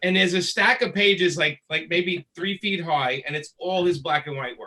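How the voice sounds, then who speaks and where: A man speaks at a moderate pace in a high pitch with ordinary pitch variation. His tone is bright and sharp. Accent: Brooklyn. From Brooklyn, New York. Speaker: comic book inker and writer. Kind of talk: panel interview.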